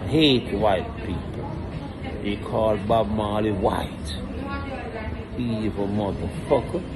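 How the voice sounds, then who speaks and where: A man speaks at a very slow pace, his pitch fairly low. Loud background noise fills the clip. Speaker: channel owner, reggae artist. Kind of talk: angry rant, profane. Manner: furious, ranting; loud, aggressive, sarcastic. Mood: angry, ranting. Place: bar. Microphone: phone near.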